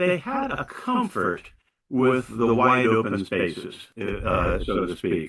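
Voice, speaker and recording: Here a man speaks in a bright, sharp tone. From US West. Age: 70s. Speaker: spiritual teacher. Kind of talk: sermon. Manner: halting, many fillers.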